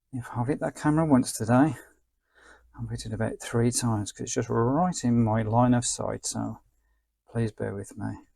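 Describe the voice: A man of medium pitch speaks at a moderate pace with a dark, mellow tone, a slightly husky edge, vocal fry and fairly even intonation.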